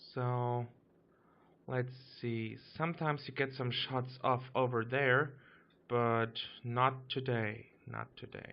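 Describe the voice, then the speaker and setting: A man with a German accent at a medium pitch, very slow and monotone, with flat intonation and long, frequent pauses. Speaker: gaming YouTuber. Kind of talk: gameplay commentary. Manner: casual, some hesitations.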